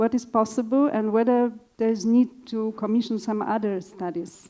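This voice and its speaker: A woman's fairly high, dark, mellow voice with a Polish accent, fairly even intonation and a fairly slow pace. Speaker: evaluation consultant. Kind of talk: panel discussion answer.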